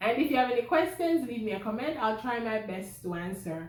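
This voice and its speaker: A woman with a Jamaican accent speaks at a moderate pace with very wide pitch swings, and audible room echo surrounds her voice. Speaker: vlogger. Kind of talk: personal vlog storytelling.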